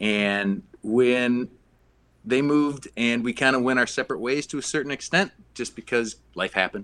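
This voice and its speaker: A man with an Upper Midwest accent, medium pitch, ordinary pitch variation and a moderate pace. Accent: Upper Midwest American. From Minneapolis, Minnesota. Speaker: brewery co-founder. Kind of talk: casual interview.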